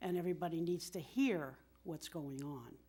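A woman speaks at a moderate pace with a fairly low pitch and a dark, mellow tone. Her pitch variation is ordinary. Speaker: town committee member. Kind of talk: public meeting presentation. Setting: town board meeting room.

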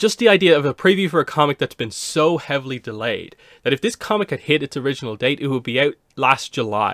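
A man speaks with lively intonation. The sound is dry with no echo, against a quiet background. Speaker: comic reviewer. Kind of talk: casual commentary. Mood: mildly exasperated. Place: home room. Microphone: studio mic.

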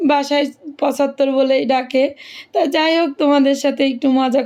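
This woman's voice sits high in pitch. Her intonation stays monotone and flat. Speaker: travel and lifestyle vlogger. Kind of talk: vlog voiceover narration.

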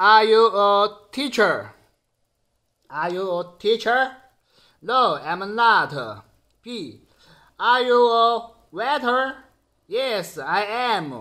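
With a Sichuan accent, a man talks very slowly, leaving long, frequent pauses against a quiet background. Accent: Sichuan Mandarin-accented English. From Chengdu, Sichuan, China. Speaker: security guard and YouTuber. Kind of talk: casual video blog. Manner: halting, simple English with pauses. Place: home room. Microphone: phone near.

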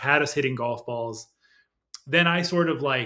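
Against a quiet background, a man talks at a moderate pace in a bright, sharp tone with ordinary pitch variation. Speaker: remote podcast guest. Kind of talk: interview answer. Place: home room.

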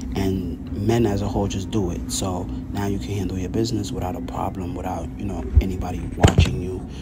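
Loud background noise around a man's speech. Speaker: fitness vlogger. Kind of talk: tutorial. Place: bathroom. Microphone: phone near.

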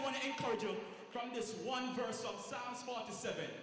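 There is strong echo from the room and noticeable background noise around this man as he talks. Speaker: church minister. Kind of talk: sermon. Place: church.

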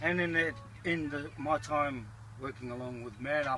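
Recorded dry with no echo, a man speaks over noticeable background noise. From New Zealand, Northland. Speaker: volunteer, security firm owner. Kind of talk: casual interview. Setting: outdoors at a festival.

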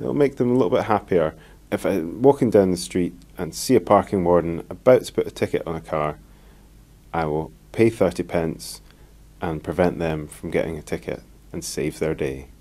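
A man speaks with a very deep, low pitch, very wide pitch swings, a dark, mellow tone and vocal fry. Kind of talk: interview answer.

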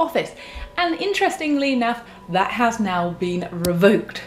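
Over light background noise, a woman with a fairly high pitch speaks at a moderate pace, her pitch swinging very widely. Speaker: creator explaining AI art. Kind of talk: casual explainer talk to camera. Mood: calm, informative. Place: home room.

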